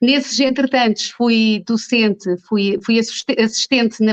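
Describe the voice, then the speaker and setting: Woman in a normal speaking voice at a fairly slow pace, dry and close with no echo. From Portugal, Margem Sul (Almada), born in Angola. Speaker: dentist. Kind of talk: interview.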